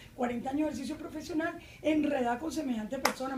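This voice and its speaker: A woman at a very fast pace with ordinary pitch variation. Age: 60s. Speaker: journalist and parliamentary candidate. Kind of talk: political debate. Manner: animated.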